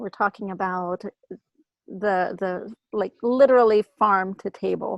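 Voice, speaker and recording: In a plain, everyday voice, a woman speaks at medium pitch and a fairly slow pace with fairly even intonation, the sound dry and close with no echo. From Greece, Athens area, moved to US around age seven. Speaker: emergency physician. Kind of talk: interview, casual chat. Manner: many fillers and repetitions.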